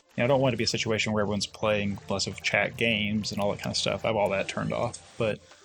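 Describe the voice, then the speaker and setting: A man with a medium pitch rattles along at a very fast pace while music plays in the background. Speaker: streamer. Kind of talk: live stream Q&A chat. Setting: live stream.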